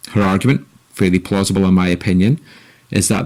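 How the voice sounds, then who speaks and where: The speaker has a Scottish accent and a dark, mellow tone at a fairly quick pace. The recording is very clean, with a silent background. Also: man. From Scotland. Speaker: podcast host. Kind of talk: scripted commentary.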